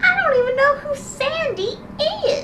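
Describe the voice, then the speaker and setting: Delivered at a fairly slow pace, the put-on character voice sits over clear background noise. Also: female-sounding voice. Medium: read story. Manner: calm, matter-of-fact.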